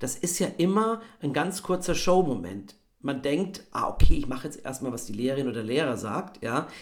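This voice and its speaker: A man with a fairly high pitch speaks with vocal fry. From Bavaria, Regensburg. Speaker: actor and voice actor. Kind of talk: interview conversation. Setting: video call.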